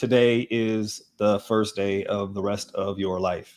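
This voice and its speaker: A man uses a put-on, robotic character voice at a fairly low pitch. He speaks at a fairly slow pace. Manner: flat, robotic reading.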